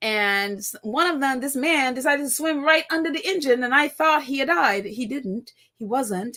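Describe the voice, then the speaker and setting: A woman in a Trinidadian accent, high-pitched and raised and projected, with lively intonation, a bright, sharp tone, a moderate pace and hardly any pauses. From Trinidad and Tobago (Tobago). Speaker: live-stream podcast host. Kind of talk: casual live-stream chat.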